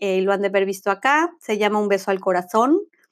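Lively intonation carries through a very clean recording with a silent background. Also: woman. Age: 50s. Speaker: spiritual coach. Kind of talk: podcast monologue.

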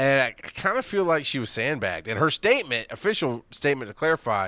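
A man speaks with a Southern US accent. His tone is bright and sharp. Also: very clean recording, silent background. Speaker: podcast host. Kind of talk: casual chat.

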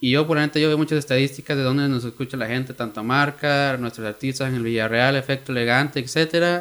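A man with an ordinary speaking voice, medium pitch and fairly even intonation, talking at a fairly quick pace with hardly any pauses. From Oakland, California (Mexican-American). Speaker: music industry creator. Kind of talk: casual chat.

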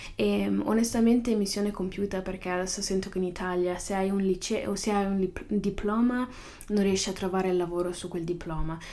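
Speech comes at a moderate pace with fairly even intonation over noticeable background noise. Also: woman, medium pitch for a woman. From northern Italy. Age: young. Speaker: podcaster. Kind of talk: casual monologue. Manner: halting, with many fillers.

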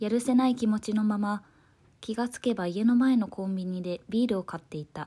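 A woman's somewhat breathy, dark, mellow voice at fairly high pitch, fairly quick in pace, with ordinary pitch variation and big swings in loudness. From Osaka, Japan. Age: 20s. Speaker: essay narrator. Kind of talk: reading aloud a personal essay.

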